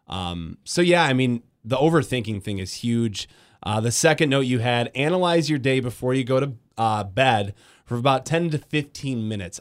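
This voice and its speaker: Lively intonation and an Upper Midwest accent come through at a moderate pace on a very clean recording with a silent background. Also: man. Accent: Upper Midwest American. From West Michigan, Grand Rapids. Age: 20s. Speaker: radio host. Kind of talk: casual chat. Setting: studio.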